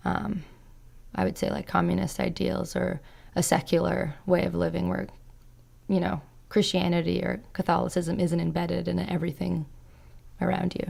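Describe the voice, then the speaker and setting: With a Canadian accent, a woman speaks at a moderate pace in a very deep, low voice with vocal fry, very wide pitch swings, and long, frequent pauses. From Canada, with Croatian parents. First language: Croatian. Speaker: podcast guest. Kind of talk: casual interview chat.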